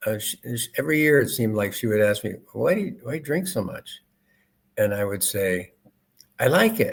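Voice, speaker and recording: At a fairly quick pace, a man with a fairly high pitch and vocal fry talks with very wide pitch swings. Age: 70s. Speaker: retired chemist and author. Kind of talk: interview. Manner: halting, with many fillers and repeats.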